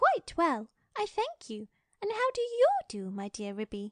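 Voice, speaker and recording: A female-sounding, put-on character voice squeaks at an extremely high pitch, swinging very widely in pitch at a fairly slow pace. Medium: read story. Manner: genteel, polite.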